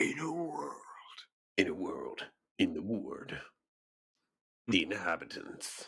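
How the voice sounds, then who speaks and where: Someone in a put-on character voice speaks very slowly, with long and frequent pauses. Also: man. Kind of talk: movie trailer announcer.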